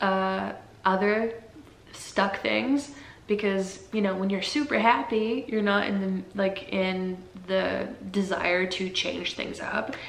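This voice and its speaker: A woman speaks very slowly at a medium pitch, her intonation fairly even. Noticeable background noise runs under the recording. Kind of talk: casual talk to camera. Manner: soft-spoken, hesitant.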